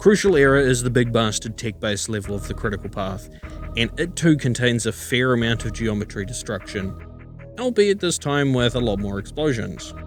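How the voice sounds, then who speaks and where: With music in the background, a man at medium pitch talks at a fairly quick pace with lively intonation. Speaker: game reviewer. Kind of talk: video game review narration. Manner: casual, conversational.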